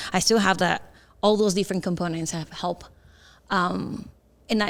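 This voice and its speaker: A woman talks at a fairly quick pace in a Spanish accent. Her intonation is monotone and flat. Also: very clean recording, silent background. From Mexico. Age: 40s. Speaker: community relations officer. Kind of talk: panel interview. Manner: halting.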